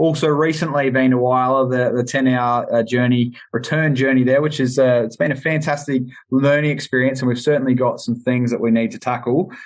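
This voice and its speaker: With an Australian accent, a man speaks in a monotone, flat intonation, with hardly any pauses. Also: medium pitch for a man, fairly quick pace. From South Australia, Adelaide Hills. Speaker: podcast host. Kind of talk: casual roundtable chat.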